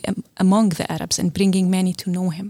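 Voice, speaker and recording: With a dry, close sound and no echo, a woman talks in a plain, everyday voice at a medium pitch. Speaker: seminary partnerships director. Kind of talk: interview.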